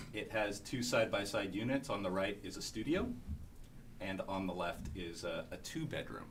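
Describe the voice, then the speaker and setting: Somewhat breathy, a man speaks with ordinary pitch variation amid audible room echo. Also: fairly low pitch for a man. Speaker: small-scale housing developer. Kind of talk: conference panel presentation. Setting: conference room with audience. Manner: fast.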